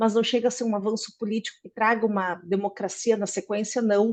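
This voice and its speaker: A woman with a Brazilian accent, fairly high pitch, fairly quick pace, and fairly even intonation. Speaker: political scientist. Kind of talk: academic presentation.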